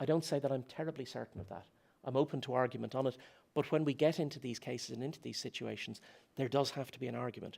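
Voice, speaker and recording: A man's medium-pitched voice with vocal fry at a very fast pace, fairly even intonation, and big swings in loudness. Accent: Dublin. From Ireland, Dublin. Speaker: philosophy lecturer. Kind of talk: conference talk. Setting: conference stage with audience.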